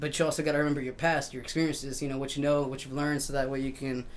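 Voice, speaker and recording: In audible room echo, a man with a Spanish accent speaks in a fairly high pitch with a relaxed tone and monotone, flat intonation. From Mexico and US, raised bilingual. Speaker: musician and tattoo artist. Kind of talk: casual interview chat. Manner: relaxed, filler-heavy.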